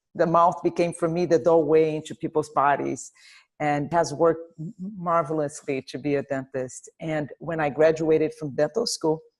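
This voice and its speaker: In a Portuguese accent, a woman speaks at a moderate pace with a very deep, low pitch and fairly even intonation against a quiet background. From Brazil, Rio de Janeiro. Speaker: dentist. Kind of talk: interview.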